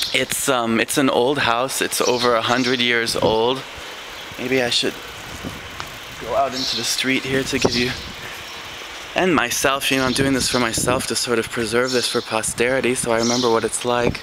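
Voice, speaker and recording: Soft-spoken and monotone, a man of medium pitch speaks with long, frequent pauses over noticeable background noise. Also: moderate pace. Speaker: English teacher and vlogger. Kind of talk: casual video tour. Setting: outdoors on a street. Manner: soft-spoken, speaking quietly; exaggerated mouth movement, clear articulation.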